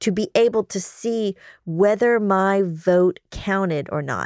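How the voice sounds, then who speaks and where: On a very clean recording with a silent background, a woman speaks in a normal speaking voice at a medium pitch with ordinary pitch variation. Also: dry, close sound with no echo. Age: 50s. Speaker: trial attorney and podcast host. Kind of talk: casual legal discussion.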